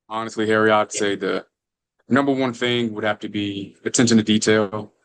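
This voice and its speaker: The speaker has an Alabama accent. The intonation stays fairly even. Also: man. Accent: US Southern (Alabama). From Alabama, near Birmingham. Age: 20s. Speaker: firefighter, former college baseball player. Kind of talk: podcast interview. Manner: casual, with many fillers.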